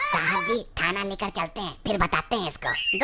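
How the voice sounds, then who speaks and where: Over loud background noise, a man does a cartoonish character voice at a high pitch and a moderate pace. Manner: comic bumbling.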